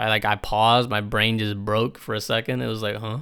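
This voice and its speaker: A man speaks in an American accent. His tone is bright and sharp. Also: very clean recording, silent background. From New York. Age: young. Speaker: podcast host. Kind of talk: casual solo monologue. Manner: rambling, lots of filler words; profane, laid-back slang.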